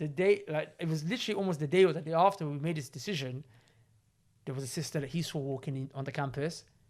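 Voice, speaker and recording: A man talks very fast at a fairly high pitch with ordinary pitch variation. His tone is animated, and the recording is very clean with a silent background. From south London, England. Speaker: podcast host. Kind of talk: casual chat. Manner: loud.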